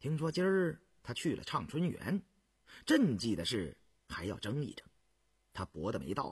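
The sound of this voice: A man does a put-on character voice with a husky, rough edge. His medium pitch swings very widely at a moderate pace.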